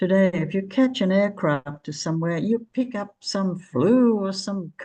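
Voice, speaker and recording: A woman speaks at a very slow pace in a somewhat breathy voice with a dark, mellow tone. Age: 80s+. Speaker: author. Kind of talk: interview answer.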